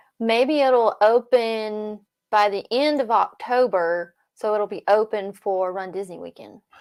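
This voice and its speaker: A woman speaks in an ordinary speaking voice, fairly high in pitch, with ordinary pitch variation and big swings in loudness. Her fairly slow delivery sits on a very clean recording with a silent background. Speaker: Disney news livestream co-host. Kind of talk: casual chat. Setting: livestream.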